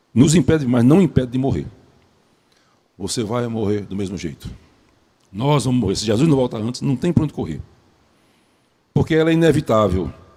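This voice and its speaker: At a fairly quick pace, a man speaks with a dark, mellow tone, medium pitch, lively intonation and vocal fry. Long pauses come often. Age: 70s. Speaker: preacher. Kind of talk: sermon.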